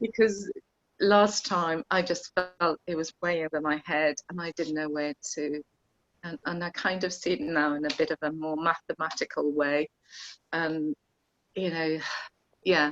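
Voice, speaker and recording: At a fairly slow pace with long, frequent pauses, a woman with a Welsh accent speaks at a fairly low pitch with ordinary pitch variation, in a dry, close sound with no echo. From Wales. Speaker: course participant. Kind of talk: casual chat. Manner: halting.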